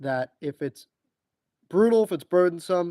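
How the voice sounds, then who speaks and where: Very fast and fairly high-pitched, a man speaks on a very clean recording with a silent background and a dry, close sound with no echo. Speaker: history book channel host. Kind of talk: casual monologue introduction to book series.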